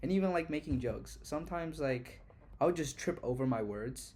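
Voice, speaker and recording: A man's voice at a fairly quick pace, with audible room echo. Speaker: university student vlogger. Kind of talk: casual vlog monologue. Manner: fast; halting, with fillers and restarts.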